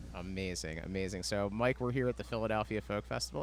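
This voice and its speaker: With music in the background, a man talks at a very fast pace. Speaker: podcast host. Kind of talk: podcast interview host.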